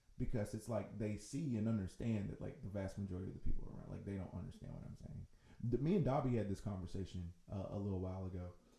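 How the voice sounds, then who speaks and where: Very fast speech from a man with an American accent, a fairly low, dark, mellow and somewhat breathy voice, and ordinary pitch variation. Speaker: musician and songwriter. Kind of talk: casual chat.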